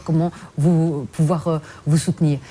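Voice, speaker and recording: A woman with a very deep, low pitch is heard over noticeable background noise. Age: 40s. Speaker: politician. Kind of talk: TV interview.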